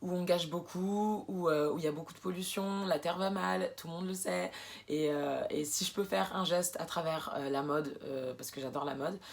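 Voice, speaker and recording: A woman's moderately paced speech, typical in its pitch movement, against noticeable background noise. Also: fairly low pitch for a woman. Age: 20s. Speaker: sewing and upcycling vlogger. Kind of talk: casual vlog introduction. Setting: alone in her bedroom. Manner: hesitant, many fillers.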